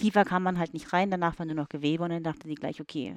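A woman at a very fast pace with ordinary pitch variation, the sound dry and close with no echo and a quiet background. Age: 30s. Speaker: woman telling her story of a rare condition. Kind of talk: casual chat. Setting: sitting on a bed with wine.

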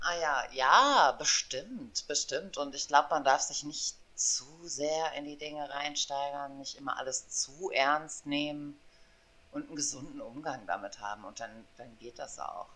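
Bright and sharp in tone, a woman's very deep, low voice moves at a fairly slow pace with big swings in loudness. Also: ordinary pitch variation. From western Germany, Aachen. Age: 40s. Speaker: podcast co-host. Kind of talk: casual chat.

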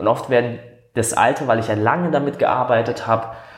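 Somewhat breathy male voice at a moderate pace. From Baden, southern Germany. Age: 30s. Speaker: coach. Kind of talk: interview conversation. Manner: hesitant, many fillers.

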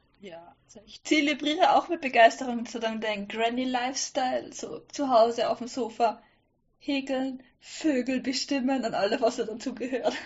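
The woman's voice is high-pitched. It varies in pitch in an ordinary way. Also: moderate pace. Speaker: sewing blogger. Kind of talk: casual chat. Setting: online call.

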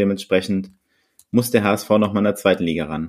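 This is a very clean recording with a silent background. A man speaks at a fairly low pitch. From Berlin. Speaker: podcast co-host. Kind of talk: casual chat.

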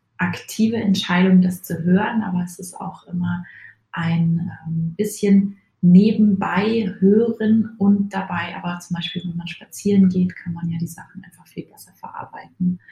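A woman's somewhat breathy voice has a dark, mellow tone, fairly low pitch and a monotone, flat delivery. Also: big swings in loudness. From Munich, Bavaria. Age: 30s. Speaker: podcast listener. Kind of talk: recorded voice message. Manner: hesitant, many filler sounds.

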